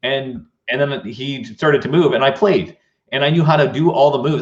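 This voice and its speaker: Pitch runs fairly high for this man. There is a somewhat breathy quality to his voice. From Canada. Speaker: leadership speaker. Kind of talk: interview conversation. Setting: live online show.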